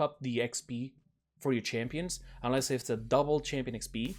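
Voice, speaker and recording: Music plays in the background as a man talks at a moderate pace in a medium pitch. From Portugal. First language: Portuguese. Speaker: gaming YouTuber. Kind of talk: casual commentary on game patch notes. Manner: casual, with fillers and self-corrections.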